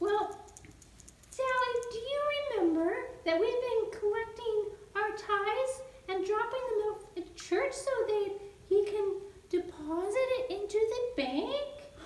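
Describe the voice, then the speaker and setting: A female-sounding voice does a cartoonish character voice at an extremely high pitch. The pace is fairly slow, with long, frequent pauses and a slight echo. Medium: puppet. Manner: calm, patient.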